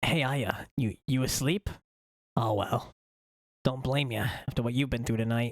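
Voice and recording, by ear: A man puts on a character voice at a medium pitch. He keeps a moderate pace but pauses long and often.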